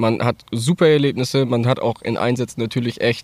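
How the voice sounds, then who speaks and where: A man has a plain, everyday voice at medium pitch with ordinary pitch variation. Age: 20s. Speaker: farmer and volunteer firefighter. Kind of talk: casual interview. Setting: outdoors in a forest.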